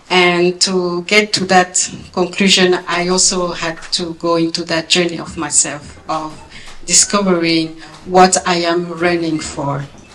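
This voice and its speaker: A woman with a strong French accent speaks at a fairly slow pace in a monotone, flat way. Background noise is noticeable. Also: fairly low pitch for a woman. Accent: big French. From France. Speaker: former Olympic athlete, speaker. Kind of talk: speech. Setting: gala event with audience.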